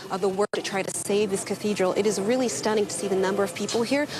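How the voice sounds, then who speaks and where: A woman speaks at a very fast pace with a medium pitch and fairly even intonation. There is noticeable background noise. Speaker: TV news reporter. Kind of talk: live news report. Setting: outdoors at fire scene. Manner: loud.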